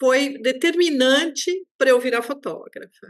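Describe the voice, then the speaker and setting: A woman's high-pitched voice at a very slow pace. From Brazil, São Paulo. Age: 60s. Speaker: underwater photographer. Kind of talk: interview, personal storytelling. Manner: animated.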